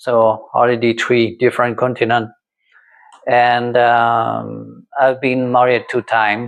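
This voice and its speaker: A man speaks with a French accent. His pitch is medium and his pace very slow. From France. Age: 60s. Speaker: vlogger. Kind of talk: casual monologue to camera. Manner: halting, many fillers.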